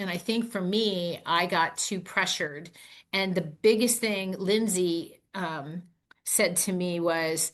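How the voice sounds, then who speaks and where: Very slow speech comes from a woman at medium pitch. Her intonation is fairly even. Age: 60s. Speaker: network marketing distributor. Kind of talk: podcast interview.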